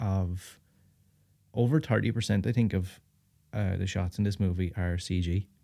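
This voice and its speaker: A man speaks with a dark, mellow tone and fairly even intonation. The recording is very clean, with a silent background. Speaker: horror podcast host. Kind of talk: casual chat.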